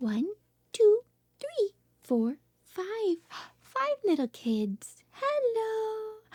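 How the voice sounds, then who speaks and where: Soft-spoken and very slow, a woman with a dark, mellow tone makes very wide pitch swings in a dry, close sound with no echo. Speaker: speech therapist. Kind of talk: reading aloud.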